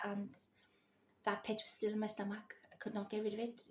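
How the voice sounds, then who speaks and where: Whispering at a fairly quick pace, a woman with a Welsh accent sounds somewhat breathy. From Wales. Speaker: psychic vlogger. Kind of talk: personal storytelling vlog. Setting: at home in the early morning.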